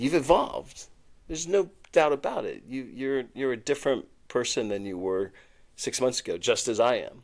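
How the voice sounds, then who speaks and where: On a very clean recording with a silent background, a man with a medium pitch speaks at a moderate pace with lively intonation. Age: 60s. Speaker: podcast co-host. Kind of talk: casual chat. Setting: studio couch. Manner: halting.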